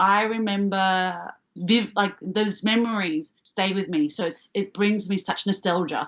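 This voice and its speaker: Speech comes at a fairly slow pace with an Australian accent. The intonation stays fairly even. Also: woman. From Australia, Melbourne (Springvale). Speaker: comedian and actor. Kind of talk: casual chat.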